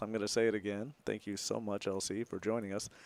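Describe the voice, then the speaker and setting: In a very clean recording with a silent background, a soft-spoken man with a fairly low pitch talks at a very fast pace using fairly even intonation. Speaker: poker commentator. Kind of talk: live commentary.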